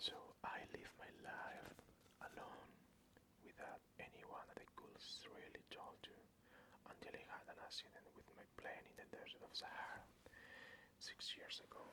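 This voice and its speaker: Whispering with a non-native accent at a moderate pace, long, frequent pauses, and noticeable background noise. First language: non-native English speaker. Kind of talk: ASMR book reading. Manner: whispered.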